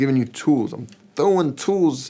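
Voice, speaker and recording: A man talks at a fairly slow pace. His intonation is lively. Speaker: guitar teacher. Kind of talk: tutorial. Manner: casual. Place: studio.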